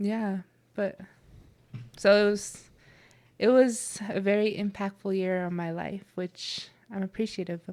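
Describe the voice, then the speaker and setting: Speaking in an American accent, a woman of medium pitch talks at a fairly slow pace in a monotone, flat intonation, with long, frequent pauses. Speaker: college athlete. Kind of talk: casual chat. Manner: casual, filler-heavy (like, yeah).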